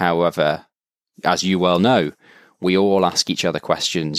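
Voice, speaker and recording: Intonation stays fairly even from this man. His pitch is very deep and low. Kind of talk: casual interview conversation. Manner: calm, measured.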